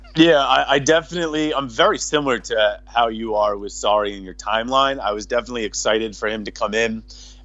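A man with a Boston accent talks at a very fast pace with hardly any pauses, his loudness swinging widely. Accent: Boston American. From Boston, Massachusetts. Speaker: football social media commentator. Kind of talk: casual chat. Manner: assertive, confident.

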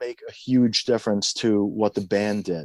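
The voice carries a dark, mellow tone with an American accent. The recording is very clean, with a silent background. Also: man. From Iran, then New York. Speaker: punk band drummer. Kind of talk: interview conversation.

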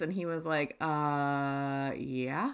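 A woman speaks very slowly in a low, raspy voice with a clear, smooth tone and fairly even intonation.

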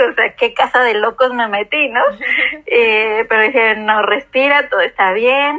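A woman with a Mexican accent speaks at a fairly high pitch. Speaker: podcast host. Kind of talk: casual chat.

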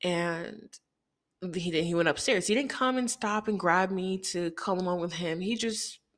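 At a fairly slow pace, a woman speaks at a medium pitch with ordinary pitch variation on a very clean recording with a silent background. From Haiti, moved to Chicago at six. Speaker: podcast host. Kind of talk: personal storytelling monologue.

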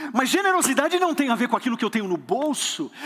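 This man's pitch sits extremely high and swings very widely. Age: 30s. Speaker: pastor. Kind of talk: sermon. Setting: church with congregation. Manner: animated.

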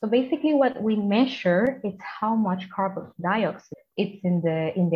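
With a Spanish accent, a woman talks in a somewhat breathy voice and lively intonation. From Colombia. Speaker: environmental engineer. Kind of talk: interview.

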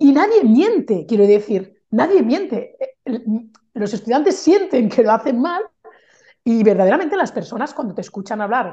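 A woman's high-pitched voice with a dark, mellow tone at a moderate pace. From Spain, Barcelona. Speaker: Spanish teacher and mentor. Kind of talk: casual interview chat. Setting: call.

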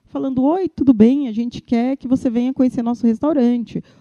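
A woman speaks with a fairly high pitch and a dark, mellow tone, recorded with a dry, close sound that has no echo. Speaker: Instagram influencer and e-commerce manager. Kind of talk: interview. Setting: recorded at an agency. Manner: animated.

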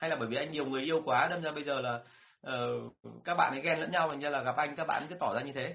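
A man's fairly high voice, very fast, with fairly even intonation. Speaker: sales trainer. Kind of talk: live-stream talk and Q&A. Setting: online live stream. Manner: fluent, rarely stumbles.

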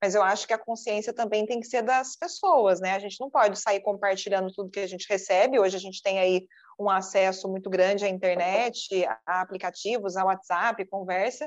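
A woman in an ordinary speaking voice, medium pitch, fairly quick pace and big swings in loudness against a quiet background. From Brazil, southern Minas Gerais. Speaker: TV news anchor and journalist. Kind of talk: interview.

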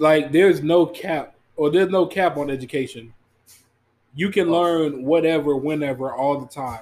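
A man with an unremarkable speaking voice keeps a moderate pace, his fairly high pitch showing ordinary variation. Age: 20s. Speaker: podcast co-host, parent. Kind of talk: casual chat.

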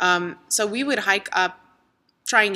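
Bright and sharp in tone, a woman's voice moves at a moderate pace. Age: 20s. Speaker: photographer. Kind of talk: casual chat.

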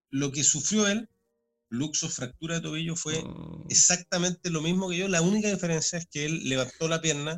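Music plays behind a man who speaks at a high pitch and a moderate pace, his intonation fairly even. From Chile, Santiago. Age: 40s. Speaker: sports commentator. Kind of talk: interview.

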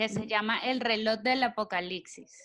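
Music plays in the background as a woman with a fairly high voice speaks very slowly, her intonation fairly even. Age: 30s. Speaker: podcast co-host. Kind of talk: casual chat.

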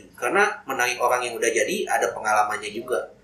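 A man is speaking with audible room echo. Background noise is noticeable too. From Indonesia, Garut (West Java). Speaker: coffee roaster and coffee shop owner. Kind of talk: casual interview. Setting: inside a coffee roastery.

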